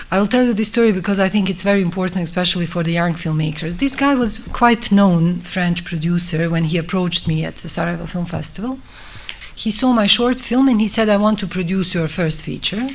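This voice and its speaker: A woman at a medium pitch with ordinary pitch variation and a fairly quick pace, amid noticeable background noise. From Bosnia. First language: Bosnian. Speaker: film director. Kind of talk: talk at a festival masterclass. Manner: halting.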